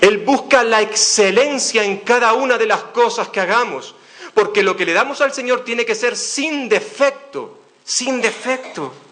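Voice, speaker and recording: A man speaks at an extremely high pitch, with ordinary pitch variation and a fairly slow pace. Noticeable background noise and audible room echo fill the recording. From Canary Islands, Spain. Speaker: pastor. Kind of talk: sermon. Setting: church.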